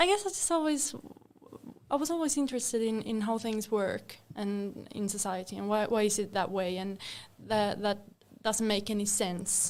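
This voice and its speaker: A woman's fairly high voice with a Swedish accent, moderate pace and ordinary pitch variation. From Finland, Helsinki. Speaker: legal counsel. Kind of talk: casual chat.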